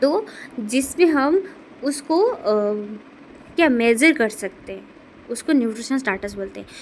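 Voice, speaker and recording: High-pitched woman with a non-native accent, very wide pitch swings, big swings in loudness and long, frequent pauses. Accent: non-native Hindi. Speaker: nursing tutor, YouTuber. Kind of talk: tutorial. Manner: halting, with fillers.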